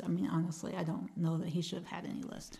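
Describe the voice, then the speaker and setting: A woman's voice with a dark, mellow tone. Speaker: comedian and author. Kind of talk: casual chat.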